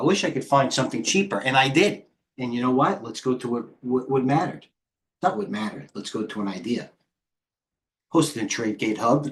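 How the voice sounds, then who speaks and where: A man with a New York accent, medium pitch, an animated tone and lively intonation, talking at a fairly quick pace with long, frequent pauses. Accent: heavy New York. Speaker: stock trader and trading coach. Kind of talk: live trading stream commentary. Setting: live stream. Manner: fast.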